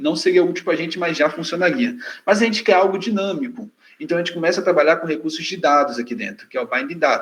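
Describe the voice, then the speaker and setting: Lively in intonation, a man talks at a fairly quick pace with a high pitch. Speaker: software trainer. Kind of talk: technical tutorial presentation.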